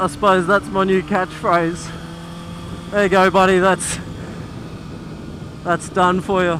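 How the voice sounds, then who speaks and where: An Australian accent over noticeable background noise. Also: man. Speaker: motorcycle vlogger. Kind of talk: casual vlog narration. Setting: outdoors riding a motorcycle. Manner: hesitant, many fillers.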